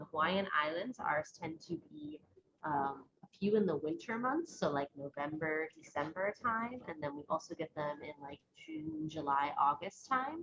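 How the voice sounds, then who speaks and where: With a very deep, low voice, a woman speaks in lively intonation and big swings in loudness. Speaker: science educator presenter. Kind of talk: webinar presentation. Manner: fast.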